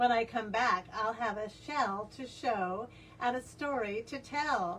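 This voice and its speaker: This is a put-on character voice at a fairly slow pace. Background noise is clearly heard. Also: woman, fairly high pitch for a woman. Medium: read story. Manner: excited, eager.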